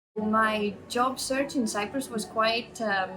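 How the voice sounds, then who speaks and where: Noticeable background noise sits behind this recording. A woman speaks at a fairly high pitch with ordinary pitch variation. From Latvia. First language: Latvian. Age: 30s. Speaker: project manager. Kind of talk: interview testimony. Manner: hesitant, many fillers.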